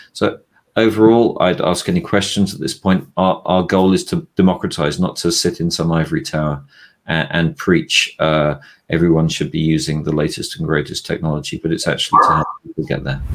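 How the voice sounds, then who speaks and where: A man with a British accent, speaking at a fairly quick pace. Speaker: VP of research at a tech analyst firm. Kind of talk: business presentation; casual chat.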